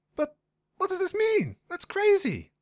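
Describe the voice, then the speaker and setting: This squeaky, put-on character voice reaches an extremely high pitch. The delivery keeps a moderate pace. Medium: read story. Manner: bubbly.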